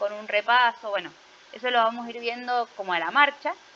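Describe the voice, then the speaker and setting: A woman with an unremarkable speaking voice talks at a fairly quick pace with a fairly high pitch and fairly even intonation. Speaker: teacher. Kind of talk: online class lecture.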